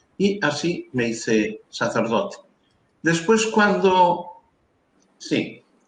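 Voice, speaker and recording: Speaking at a very slow pace with long, frequent pauses, a man swings very widely around a high pitch amid audible room echo. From Galicia, Spain (Carril, Ría de Arosa). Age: 70s. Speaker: priest. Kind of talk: interview, life story. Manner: halting, many fillers.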